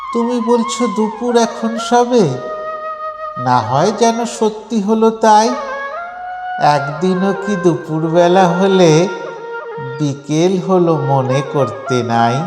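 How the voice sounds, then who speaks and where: With music in the background, a man speaks in a high pitch with very wide pitch swings. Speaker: poetry reciter. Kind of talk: poetry reading. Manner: animated, engaging.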